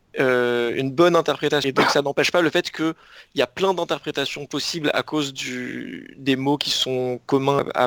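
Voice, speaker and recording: In a very clean recording with a silent background and a dry, close sound with no echo, a man speaks at a fairly slow pace with fairly even intonation. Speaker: podcast co-host.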